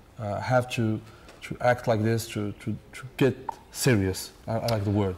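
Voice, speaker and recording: A man talks in a normal speaking voice at medium pitch. His pace is fairly slow and his intonation fairly even. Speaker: festival reporter. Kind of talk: interview questions.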